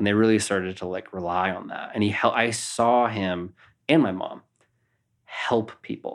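In an American accent, a man uses an unremarkable speaking voice at a fairly low pitch, with fairly even intonation and a moderate pace, on a very clean recording with a silent background. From Napa, California. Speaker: elite boulderer. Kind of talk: casual interview.

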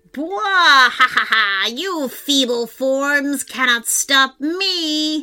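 Bellowing in a put-on character voice, a woman speaks at a high pitch and a very slow pace with hardly any pauses. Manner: roaring, gloating.

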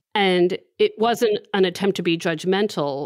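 Heard in a dry, close sound with no echo, a woman with an American accent speaks at medium pitch with ordinary pitch variation in an unremarkable speaking voice. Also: very clean recording, silent background. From Maryland. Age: 40s. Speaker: advice columnist and podcast host. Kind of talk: casual chat.

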